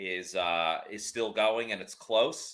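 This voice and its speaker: Very slow speech in a bright, sharp tone, with a slight New York accent. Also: man. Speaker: sports livestream host. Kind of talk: live game reaction commentary. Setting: live stream.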